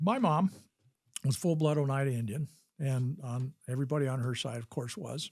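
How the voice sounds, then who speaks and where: A man's fairly high, somewhat breathy voice moves at a moderate pace with ordinary pitch variation. The recording is very clean against a silent background. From Wisconsin, US Midwest; raised partly in Utah. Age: 70s. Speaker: physician and army veteran. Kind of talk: interview storytelling.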